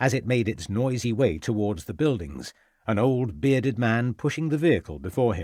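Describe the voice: Ordinary pitch variation in a plain read-aloud passage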